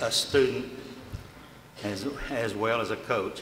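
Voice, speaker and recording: A man with a Texan accent and a medium pitch speaks at a very slow pace. Audible room echo and noticeable background noise fill the recording. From Arlington, Texas. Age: 70s. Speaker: retired coach and athletic director. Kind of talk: acceptance speech.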